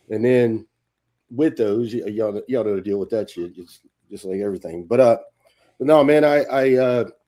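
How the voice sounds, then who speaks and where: With a Louisiana accent, a man at a medium pitch speaks at a moderate pace in a dark, mellow tone, with ordinary pitch variation, big swings in loudness, and long, frequent pauses. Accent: Louisiana Southern US. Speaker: retired army sergeant major, actor. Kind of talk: casual chat.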